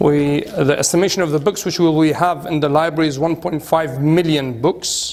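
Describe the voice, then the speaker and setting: A moderate-paced voice in a British accent, with fairly even intonation over noticeable background noise. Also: man. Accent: British-tinged English. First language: Arabic. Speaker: cleric and institute director. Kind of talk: guided tour talk. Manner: halting.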